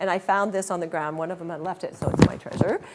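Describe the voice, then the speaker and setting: This woman's fairly low-pitched voice keeps a fairly even intonation. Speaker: garden club leader giving a talk. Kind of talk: lunch talk presentation. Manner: fast; hesitant fillers.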